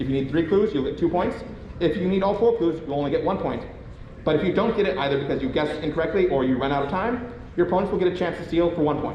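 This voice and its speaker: Speech comes at a very fast pace with audible room echo. Noticeable background noise runs underneath. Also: man, high pitch for a man, ordinary pitch variation. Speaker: quiz game host at a convention panel. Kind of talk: live game show hosting. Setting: convention panel room with audience.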